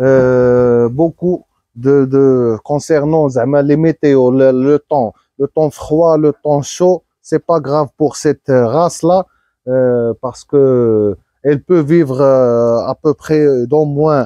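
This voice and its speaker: In a Moroccan accent, a man with a dark, mellow tone and fairly high pitch speaks at a very slow pace. His intonation is fairly even, loudness very even, and the sound dry and close with no echo. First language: Moroccan Arabic (speaking French). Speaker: livestock breeder. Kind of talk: casual vlog. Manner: halting.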